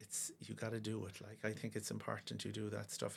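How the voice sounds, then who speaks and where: In a Cork accent, a man speaks at a fairly quick pace. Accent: Cork Irish. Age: 50s. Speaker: pediatric osteopath and football coach. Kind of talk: casual interview. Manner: hesitant, many fillers.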